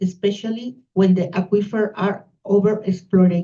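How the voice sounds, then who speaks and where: A woman with a non-native accent speaks at a medium pitch in a dark, mellow tone, somewhat breathy and with monotone, flat intonation. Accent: non-native English accent, noticeable. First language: Spanish. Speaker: university researcher. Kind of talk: conference talk. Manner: slow.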